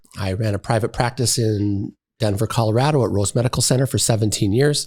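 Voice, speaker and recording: Recorded very cleanly against a silent background, a man with a fairly low pitch sounds somewhat breathy. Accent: Wisconsin. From Wisconsin. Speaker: podiatrist and college dean. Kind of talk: casual interview.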